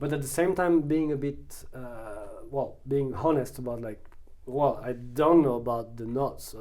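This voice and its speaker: With a French accent, a man speaks at a moderate pace and medium pitch with ordinary pitch variation amid audible room echo. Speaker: photographer, musician and actor. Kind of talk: interview. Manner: halting, many fillers.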